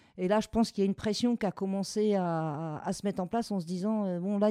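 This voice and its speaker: At a moderate pace, a woman with a medium pitch and a dark, mellow tone speaks with ordinary pitch variation in a dry, close sound with no echo on a very clean recording against a silent background. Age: 40s. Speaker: home care worker and strike leader. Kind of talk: testimony. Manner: hesitant, with fillers.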